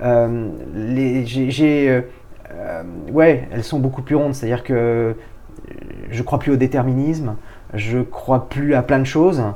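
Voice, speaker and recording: Fairly even intonation at a very slow pace, broken by long, frequent pauses. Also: man, medium pitch for a man. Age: 40s. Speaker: business executive. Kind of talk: interview.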